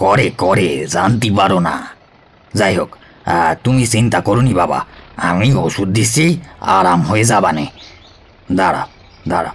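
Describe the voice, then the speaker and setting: A man's put-on character voice, fairly low in pitch, with lively intonation, very even loudness and a fairly slow pace. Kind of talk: comic character acting. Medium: audio drama. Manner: boastful, brushes off contradiction.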